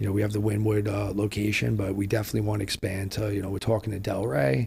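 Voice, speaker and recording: A man with a New York accent talks at a very fast pace. His pitch is fairly low and his intonation fairly even. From New York City, Lower East Side and Queens. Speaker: restaurateur and former nightclub promoter. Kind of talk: podcast interview. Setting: New York City.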